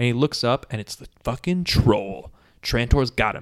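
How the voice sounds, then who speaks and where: A man speaks with ordinary pitch variation. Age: 30s. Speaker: comedy podcast host. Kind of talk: casual chat. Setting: home recording in his apartment. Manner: animated.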